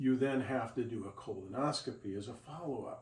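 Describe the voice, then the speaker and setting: Over audible room echo, a man talks at a moderate pace. His voice is somewhat breathy, with lively intonation. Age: 60s. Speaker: video blogger. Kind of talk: casual chat; tutorial. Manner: conversational with hesitations.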